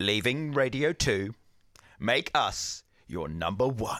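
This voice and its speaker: Using a put-on character voice, a man booms at medium pitch and a fairly slow pace on a very clean recording with a silent background. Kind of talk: announcer delivery.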